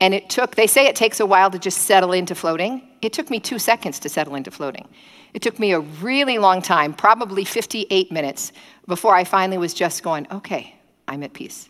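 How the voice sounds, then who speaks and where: Against a very clean recording with a silent background, a woman speaks very fast at a medium pitch, animated in tone with lively intonation. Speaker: preacher. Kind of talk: sermon. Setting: streamed church service, nearly empty room. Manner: fast talker.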